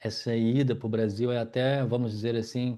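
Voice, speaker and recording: A man with a Minas Gerais accent speaks at a fairly slow pace and a medium pitch, his tone dark and mellow. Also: quiet background. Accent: Minas Gerais (mineiro) Brazilian Portuguese. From Brazil, Minas Gerais. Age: 40s. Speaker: yoga teacher and wheelchair user telling his life story. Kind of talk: personal life story monologue. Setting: at home in living room.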